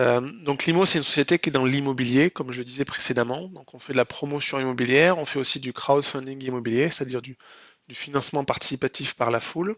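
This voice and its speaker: A man speaks at a very fast pace and a medium pitch with ordinary pitch variation. His loudness swings widely. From southwest France (Lot). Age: 30s. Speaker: entrepreneur. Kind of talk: interview. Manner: hesitant with fillers.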